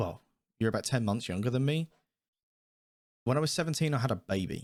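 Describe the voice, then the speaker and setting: Speaking in a British accent, a man uses a medium pitch, ordinary pitch variation and an animated tone. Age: 20s. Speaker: podcast host. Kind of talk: casual chat.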